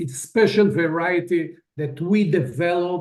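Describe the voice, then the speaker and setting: A man's high voice at a very slow pace, with ordinary pitch variation. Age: 60s. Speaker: farmer. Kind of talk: video testimony.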